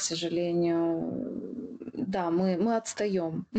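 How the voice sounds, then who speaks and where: Delivered at a very slow pace, the voice has a dark, mellow tone and fairly even intonation. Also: woman. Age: 30s. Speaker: podcast co-host, blogger producer. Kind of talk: casual chat.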